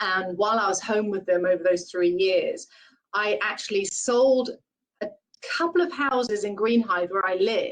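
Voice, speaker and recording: Using a British accent, a woman speaks at a medium pitch and a moderate pace with ordinary pitch variation. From UK. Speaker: real estate branch manager. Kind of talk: webinar interview.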